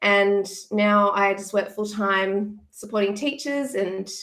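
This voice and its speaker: Speaking with an Australian accent, a woman uses a fairly high pitch. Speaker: former teacher, education content creator. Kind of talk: casual interview.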